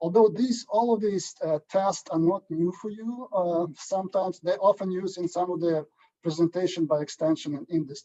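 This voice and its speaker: At a moderate pace, a man with a Ukrainian accent talks in a dark, mellow tone at a high pitch, with ordinary pitch variation. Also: dry, close sound with no echo. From Ukraine. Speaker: agronomy statistician. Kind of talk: lecture. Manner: halting.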